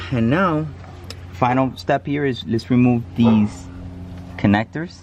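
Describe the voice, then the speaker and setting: Speaking at a very slow pace, a man with a medium pitch is heard over noticeable background noise. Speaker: hobby mechanic. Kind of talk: tutorial. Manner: occasional stutter today; casual, hesitant with fillers.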